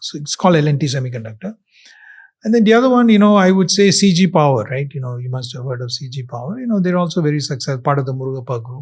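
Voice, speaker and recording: The speaker is a man at a very fast pace. He sounds somewhat breathy, with lively intonation. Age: 60s. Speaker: semiconductor entrepreneur. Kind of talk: podcast interview. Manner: conversational with many fillers.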